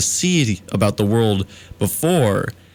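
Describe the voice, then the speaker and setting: Music plays in the background as a man speaks. His tone is upbeat and his intonation lively. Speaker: college radio DJ. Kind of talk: late-night radio show host talk. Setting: radio studio. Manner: mock-formal, upbeat, comedic.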